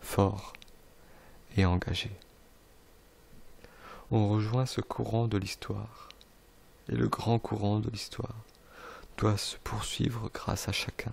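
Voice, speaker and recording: Long pauses come often. The pace is very slow. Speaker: ASMR video creator. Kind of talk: classic book reading. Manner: normal speaking voice, steady reading pace.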